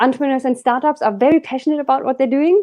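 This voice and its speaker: A woman is speaking. She talks with a German accent. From Germany. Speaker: business coach. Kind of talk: interview.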